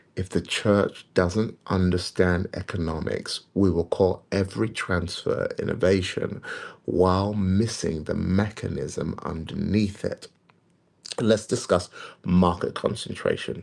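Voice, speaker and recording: Very deep and low in pitch, a man speaks quietly at a fairly slow pace. His pitch variation is ordinary. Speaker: prophetic preacher. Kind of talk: livestream teaching. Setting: livestream at home. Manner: quiet, kept low. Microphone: may be too quiet.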